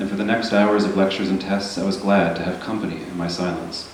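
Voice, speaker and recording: A man talks very fast in a fairly low, monotone, flat voice. Room echo is audible, and background noise is noticeable. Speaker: novelist. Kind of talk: reading aloud; casual remarks. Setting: stage with audience.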